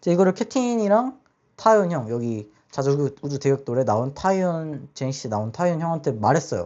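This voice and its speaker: A fairly high male voice swinging very widely in pitch. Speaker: podcast host. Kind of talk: casual monologue. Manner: halting.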